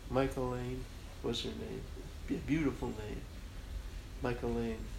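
A man's fairly slow speech comes with audible room echo. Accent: American. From Chicago, US Midwest. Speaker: graphic artist. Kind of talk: interview conversation.

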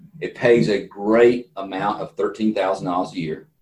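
A man with a fairly low pitch speaks in a slight Southern US accent. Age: 60s. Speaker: entrepreneur and political candidate. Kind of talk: interview.

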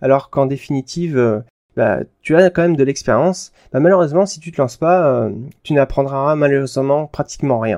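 A man speaks fairly quickly at a fairly high pitch, with a dark, mellow tone and ordinary pitch variation. The sound is dry and close, with no echo. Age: 30s. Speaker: podcast host, software engineer. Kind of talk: solo podcast monologue. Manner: casual, with fillers.

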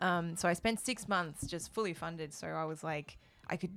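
At a moderate pace, a woman speaks in an Australian accent with a fairly low pitch. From Australia, Melbourne. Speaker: koto musician. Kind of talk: casual interview chat. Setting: studio.

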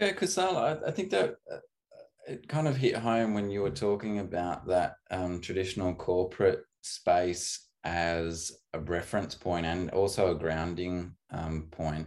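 Against a quiet background, a man with an Australian accent and a very deep, low voice talks at a fairly slow pace with ordinary pitch variation. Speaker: podcast host. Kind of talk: casual interview conversation.

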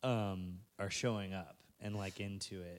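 With an American accent, a man is heard in a very clean recording with a silent background. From Texas (Victoria). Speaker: podcast host and DJ. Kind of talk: casual interview chat. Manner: animated.

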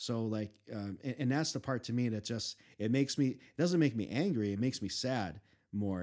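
At a fairly quick pace, a man speaks at medium pitch in a very clean recording with a silent background. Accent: American. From Chicago, US Midwest. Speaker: podcast guest. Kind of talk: casual chat. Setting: studio.

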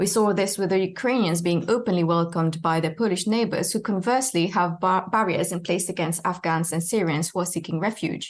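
A woman speaks at a medium pitch with ordinary pitch variation and very even loudness, at a fairly quick pace with hardly any pauses. It's an ordinary speaking voice, against a quiet background. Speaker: academic researcher. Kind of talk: radio interview. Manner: formal.

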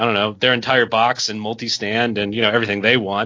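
Speaking with an American accent, a man holds a medium pitch in a monotone, flat delivery. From United States. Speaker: podcast guest and card game player. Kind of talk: casual chat about a card game.

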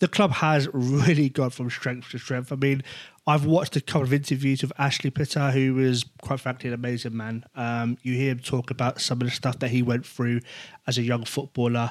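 Speaking at a fairly quick pace with a medium pitch and fairly even intonation, a man with an English accent is heard on a very clean recording against a silent background. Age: 30s. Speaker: podcast host. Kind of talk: interview.

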